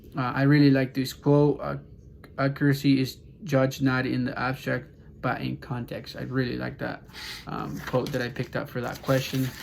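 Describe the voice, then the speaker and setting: A man with a Spanish accent at a moderate pace. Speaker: student. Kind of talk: class assignment presentation. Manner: halting, many fillers.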